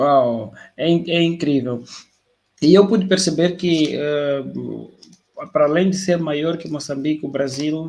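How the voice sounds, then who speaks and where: A man with a fairly high voice, talking at a fairly slow pace with fairly even intonation. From Mozambique. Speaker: live stream host. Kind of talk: interview conversation. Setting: online live stream.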